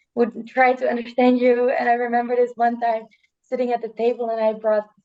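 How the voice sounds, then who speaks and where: Dark, mellow tone in a Dutch accent with monotone, flat intonation. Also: woman. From Netherlands. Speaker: student. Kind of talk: casual chat. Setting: video call. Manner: halting.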